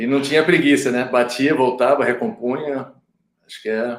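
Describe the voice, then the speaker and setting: Moderate pace and fairly even intonation from a man with a medium-pitched voice. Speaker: retired footballer turned agent. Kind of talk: casual chat.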